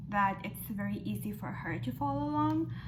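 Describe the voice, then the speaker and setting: A woman's voice amid noticeable background noise. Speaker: makeup tutorial creator. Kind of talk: makeup tutorial talk to camera.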